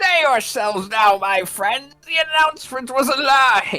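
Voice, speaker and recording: Against faint music in the background, a woman does a put-on character voice at a high pitch and a moderate pace. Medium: game stream. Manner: pompous, formal.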